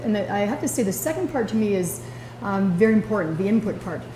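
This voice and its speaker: Clear background noise accompanies words delivered rather quickly. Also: woman. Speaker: executive director of a sports association. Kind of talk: report speech at an annual general meeting. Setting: meeting room with audience. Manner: fast.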